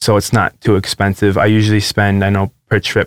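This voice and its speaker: A man with a fairly low pitch is heard in a very clean recording with a silent background, the sound dry and close with no echo. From Canada. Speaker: nurse and traveller. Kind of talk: interview via interpreter. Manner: hesitant.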